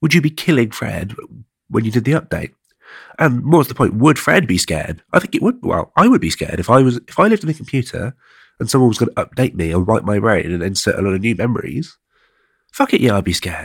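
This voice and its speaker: Very fast and somewhat breathy, a man with an English accent and a medium pitch makes very wide pitch swings, the sound dry and close with no echo. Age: 20s. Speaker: podcast host. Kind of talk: solo monologue podcast. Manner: halting; casual.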